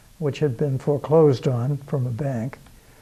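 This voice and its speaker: A man with an American accent speaks at a moderate pace in a fairly high, somewhat breathy voice with a dark, mellow tone and fairly even intonation. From Massachusetts, Beverly (North Shore). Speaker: local history show host. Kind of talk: interview. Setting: historical society building.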